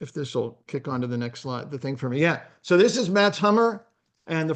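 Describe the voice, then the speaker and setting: Using a fairly high pitch, a male voice moves along at a fairly quick pace. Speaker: marketing presenter. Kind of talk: webinar presentation. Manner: fast.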